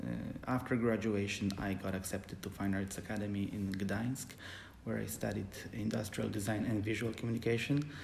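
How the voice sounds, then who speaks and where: Vocal fry in a Polish accent, with audible room echo. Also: man. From Poland. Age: 30s. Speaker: calligrapher. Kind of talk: casual interview.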